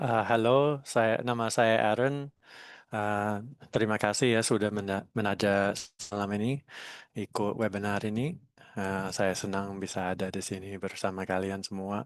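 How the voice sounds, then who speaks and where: Over a quiet background, a man talks at a moderate pace in a fairly low pitch with fairly even intonation. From Australia. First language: English (speaking Indonesian). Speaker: national frisbee team coach. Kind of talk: webinar talk. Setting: online webinar. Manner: halting.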